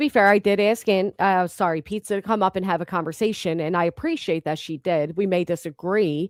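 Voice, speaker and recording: Speaking at a fairly quick pace with hardly any pauses, a woman with a Philadelphia accent has a medium pitch and ordinary pitch variation, captured in a very clean recording with a silent background and a dry, close sound with no echo. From Philadelphia, US. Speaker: YouTube livestream host. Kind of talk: heated live-stream discussion. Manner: loud.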